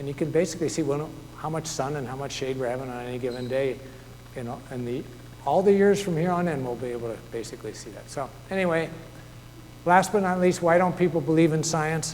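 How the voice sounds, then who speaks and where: A man talks very fast at a fairly high pitch, with ordinary pitch variation, big swings in loudness and audible room echo. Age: 60s. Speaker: author and naturalist. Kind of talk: public talk. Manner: conversational.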